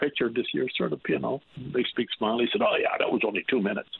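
With a Newfoundland accent, a man speaks over noticeable background noise. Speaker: caller. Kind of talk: call-in opinion. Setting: phone call.

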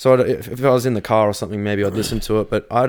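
Here a man talks at a very fast pace with an Australian accent. His voice is fairly low, with fairly even intonation. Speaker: radio host and metal vocalist. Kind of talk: casual chat. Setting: in person, drinking beer.

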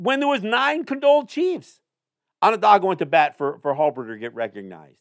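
The speaker moves at a fairly quick pace. Their pitch swings very widely. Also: man, high pitch for a man, very clean recording, silent background. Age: 60s. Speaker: Native affairs podcast host. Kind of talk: solo commentary monologue. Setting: studio. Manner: halting, with many repetitions and fillers.

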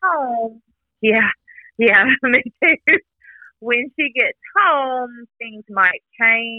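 Someone with an American accent speaks very slowly with lively intonation and long, frequent pauses. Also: woman, high pitch for a woman. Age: 40s. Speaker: mother of a sick baby. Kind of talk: interview about personal experience.

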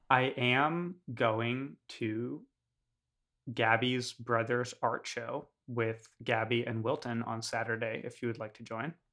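Speaking very slowly with an American accent, a man keeps a medium pitch and fairly even intonation while his loudness swings widely, all on a very clean recording with a silent background. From New York. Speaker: podcast co-host. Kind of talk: casual chat.

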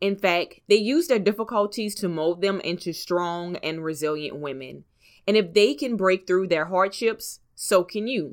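A woman speaks at a moderate pace in an ordinary speaking voice, her medium pitch showing ordinary variation, on a very clean recording with a silent background. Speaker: podcast host. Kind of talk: podcast interview intro and conversation. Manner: upbeat, motivational.

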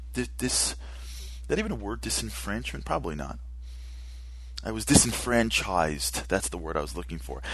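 A man with a very deep, low voice and vocal fry talks at a fairly quick pace, broken by long, frequent pauses. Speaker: radio host. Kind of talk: opinionated radio monologue, angry rant. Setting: studio. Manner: animated, impassioned, ranting.

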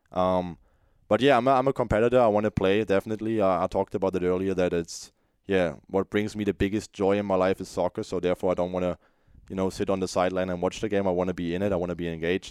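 In a German accent, a man talks very fast with a very deep, low voice and fairly even intonation, the sound dry and close with no echo over a quiet background. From Germany. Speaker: college soccer goalkeeper. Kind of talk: interview. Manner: halting.

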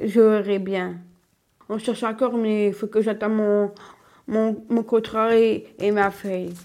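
Very slow speech in a dark, mellow tone, with monotone, flat intonation and long, frequent pauses. The recording is very clean and the background silent. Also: woman, fairly high pitch for a woman. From northern France, Lille area. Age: 20s. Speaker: young woman with Down syndrome. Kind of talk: interview. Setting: at home. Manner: halting.

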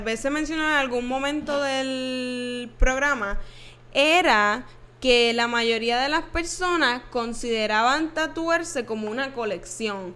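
A woman's raised, projected voice, high in pitch with a bright, sharp tone, ordinary pitch variation and a very slow pace. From Puerto Rico, Trujillo Alto. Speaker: podcast co-host. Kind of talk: casual chat. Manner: laughs a lot.

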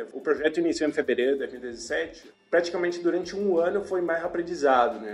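Over noticeable background noise, a man with a non-native accent speaks at a fairly high pitch and moderate pace. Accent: foreign, non-Brazilian. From Paraguay, Asunción. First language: Spanish (speaking Portuguese). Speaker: e-commerce marketing manager. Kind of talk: interview.

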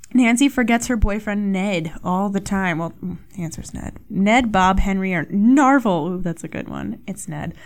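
A woman at medium pitch and moderate pace, animated in tone, with ordinary pitch variation and hardly any pauses. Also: big swings in loudness. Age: 20s. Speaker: podcast host. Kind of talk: casual solo podcast chat. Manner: animated, frequent laughter.

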